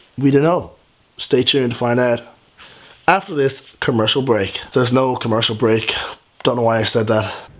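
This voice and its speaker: With a Dublin accent, a man speaks at medium pitch, his loudness very even and his pitch variation ordinary. He leaves long, frequent pauses. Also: moderate pace. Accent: Dublin Irish. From Ireland. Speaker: vlogger. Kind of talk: reading own story aloud with comic asides. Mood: playful, mock-dramatic. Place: home room. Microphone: phone near.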